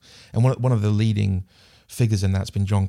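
A man with a New Zealand accent speaks at a fairly low pitch. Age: 40s. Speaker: international development specialist. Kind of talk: casual chat.

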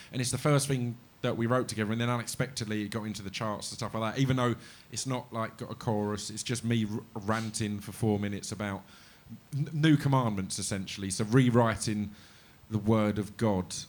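Using a plain, everyday voice, a man at medium pitch talks fairly quickly with fairly even intonation. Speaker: musician guest. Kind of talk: casual chat interview before live audience. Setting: live show with audience.

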